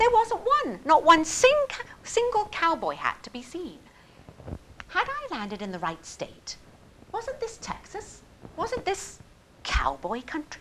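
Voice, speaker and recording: A woman with a British accent and an extremely high pitch speaks at a fairly slow pace, with very wide pitch swings, big swings in loudness, long, frequent pauses and noticeable background noise. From England. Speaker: storyteller. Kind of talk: personal story performance. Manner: humorous.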